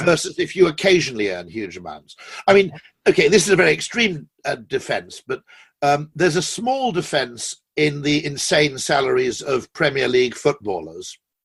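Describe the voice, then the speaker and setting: A man with a British accent talks at a moderate pace in a fairly high pitch. His voice has vocal fry and very wide pitch swings. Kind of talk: interview answer. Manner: witty, charming.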